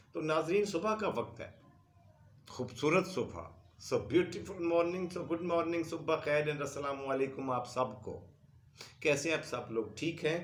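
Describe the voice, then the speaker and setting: A man at a fairly high pitch, with ordinary pitch variation, a fairly slow pace, and audible room echo. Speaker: history storyteller. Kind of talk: history lecture.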